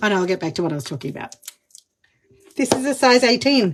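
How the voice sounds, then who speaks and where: A fairly high-pitched woman's voice in an Australian accent, very fast, with very wide pitch swings. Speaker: makeup demonstrator, live streamer. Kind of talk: live makeup tutorial. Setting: enclosed studio booth, live stream. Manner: animated.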